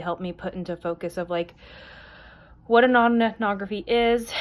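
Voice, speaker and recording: A woman with an unremarkable speaking voice, moderate pace and fairly even intonation, on a very clean recording with a silent background. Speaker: graduate student. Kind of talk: video reading response. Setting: her bedroom at night. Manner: casual with many fillers.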